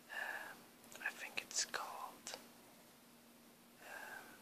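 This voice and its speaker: A man is whispering. Noticeable background noise can be heard. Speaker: airbrush hobbyist. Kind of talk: ASMR show-and-tell. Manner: whispered.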